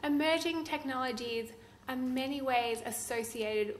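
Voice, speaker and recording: Amid noticeable background noise and audible room echo, a woman with an Australian accent speaks with ordinary pitch variation. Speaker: law professor. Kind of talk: conference talk.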